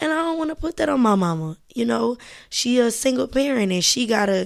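A normal speaking voice from a woman with an American accent, fairly high in pitch, at a moderate pace, in a very clean recording with a silent background. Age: 20s. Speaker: podcast host, college student. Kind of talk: casual monologue. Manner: casual, many filler words.

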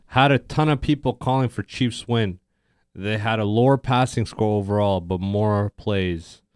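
In a very clean recording with a silent background and a dry, close sound with no echo, a man talks in a normal speaking voice at a moderate pace. His pitch is fairly low, with ordinary variation. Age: 20s. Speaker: podcast co-host. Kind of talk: casual chat. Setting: live stream.

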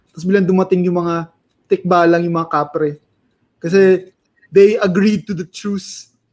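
A man with a high pitch speaks at a moderate pace in a monotone, flat way. He takes long, frequent pauses. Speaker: podcast co-host. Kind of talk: casual chat. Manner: code-switching English and Tagalog.

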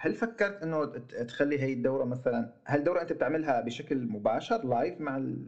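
The man's pitch is fairly high, with lively intonation. He speaks at a fairly quick pace. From Syria. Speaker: podcast host. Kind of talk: casual interview. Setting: remote call, host in Germany.

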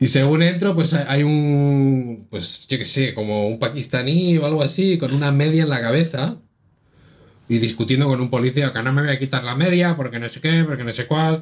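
Moderate pace and ordinary pitch variation from a man with an unremarkable speaking voice, pitched fairly high. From Spain. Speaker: podcast co-host. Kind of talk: casual chat.

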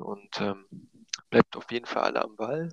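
An ordinary speaking voice moves at a fairly slow pace. The sound is dry and close, with no echo. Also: man. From Brandenburg, eastern Germany (Eisenhüttenstadt). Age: 20s. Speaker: gaming league player. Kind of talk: casual chat. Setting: at home in quarantine.

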